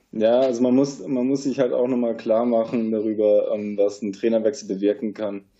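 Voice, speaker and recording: A man uses a normal speaking voice, pitched at a medium level, with fairly even intonation and a moderate pace. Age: 20s. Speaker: sports journalist. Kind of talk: casual chat.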